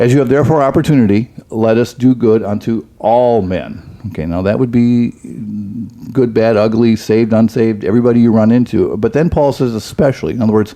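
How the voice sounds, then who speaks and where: A man talks at a very fast pace with a medium pitch. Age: 60s. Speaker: pastor. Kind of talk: casual chat.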